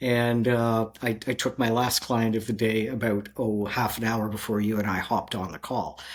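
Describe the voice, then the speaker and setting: Someone with a Canadian accent speaks at a moderate pace with hardly any pauses. The intonation is a flat monotone, over noticeable background noise. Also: man, medium pitch for a man. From Canada. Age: 60s. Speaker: movement coach. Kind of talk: casual interview. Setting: video call.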